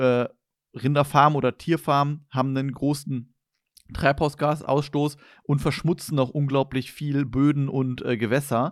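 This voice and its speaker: The recording is very clean with a silent background as a man speaks in a fairly high pitch with monotone, flat intonation. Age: 20s. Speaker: podcast host. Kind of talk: casual chat.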